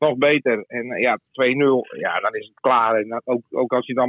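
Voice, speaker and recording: Speaking at a fairly slow pace, a man keeps a medium pitch. His intonation is monotone and flat. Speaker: sports journalist. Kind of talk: casual chat.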